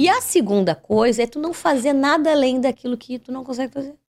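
A woman speaks in a high voice at a fairly quick pace. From southern Brazil, Pelotas. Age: 40s. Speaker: journalist and TV presenter. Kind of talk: casual chat.

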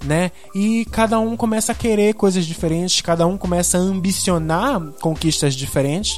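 Over music in the background, a man with a high pitch talks at a moderate pace with hardly any pauses, ordinary pitch variation and very even loudness. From Belém do Pará, northern Brazil. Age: 20s. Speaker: journalist and podcast host. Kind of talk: solo podcast monologue. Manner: casual, many filler hesitations.

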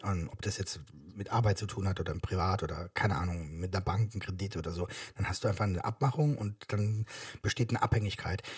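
Very fast, somewhat breathy speech with ordinary pitch variation on a very clean recording with a silent background. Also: man, fairly low pitch for a man. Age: 40s. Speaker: podcast co-host, father. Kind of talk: casual chat.

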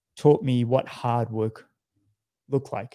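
A dark, mellow tone in an Australian accent at a fairly slow pace, on a very clean recording with a silent background. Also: man. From Australia (Sydney). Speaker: professional triathlete. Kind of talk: casual interview.

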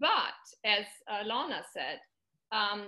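With a German accent, a woman is speaking. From Germany. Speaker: middle school language teacher. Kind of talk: casual interview.

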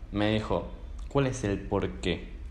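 Audible room echo hangs around this man as he talks. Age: 20s. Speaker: podcast host. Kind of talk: interview conversation.

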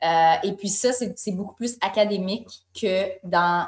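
Fairly even intonation marks this woman's speech. Her voice sits at a medium pitch. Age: 30s. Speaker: wellness magazine co-founder. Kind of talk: interview conversation.

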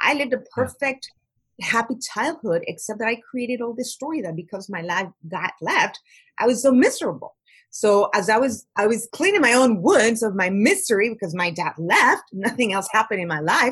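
This woman has an ordinary speaking voice at a fairly high pitch. She talks at a moderate pace with lively intonation. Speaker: life coach. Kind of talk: podcast interview.

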